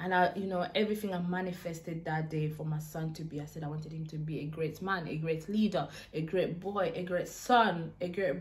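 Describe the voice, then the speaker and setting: At a moderate pace, a woman with a fairly low voice and ordinary pitch variation speaks in a room with audible echo. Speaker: YouTuber. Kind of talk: storytime vlog.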